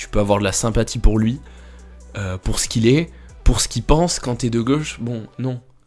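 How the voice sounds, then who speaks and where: Over music in the background, a man at medium pitch with ordinary pitch variation speaks with long, frequent pauses and big swings in loudness. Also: moderate pace. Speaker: streamer reacting to video clips. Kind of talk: live stream reaction commentary. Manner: casual, joking.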